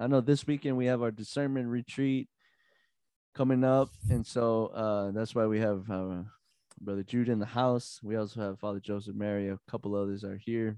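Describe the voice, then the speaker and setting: Spoken with a Texan accent, the voice has an animated tone and a moderate pace. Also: man, medium pitch for a man, quiet background. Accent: Texan American. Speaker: podcast host, religious brother. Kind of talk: casual chat. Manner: laid-back, animated.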